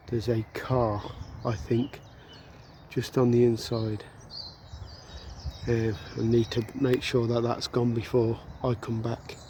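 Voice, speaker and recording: Quiet, monotone delivery with flat intonation at a very slow pace, full of long, frequent pauses. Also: man, medium pitch for a man. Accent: West Midlands. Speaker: outdoor vlogger. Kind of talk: casual vlog narration. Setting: outdoors. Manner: talking quietly.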